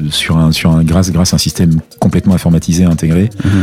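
Music runs behind a man whose intonation is monotone and flat. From Côte d'Ivoire (Abidjan), Martinican family. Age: 50s. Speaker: music business executive. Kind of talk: interview.

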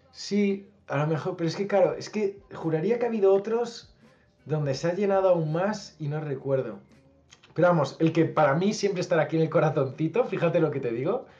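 A man talks at a high pitch and a fairly quick pace, with ordinary pitch variation. Noticeable background noise runs underneath. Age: 30s. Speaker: musician and youtuber. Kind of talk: casual interview.

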